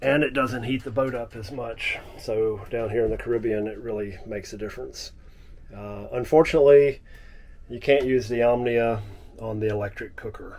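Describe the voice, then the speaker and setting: A man is speaking. His pace is moderate and his intonation fairly even. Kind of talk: casual vlog chat. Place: boat. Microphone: phone near.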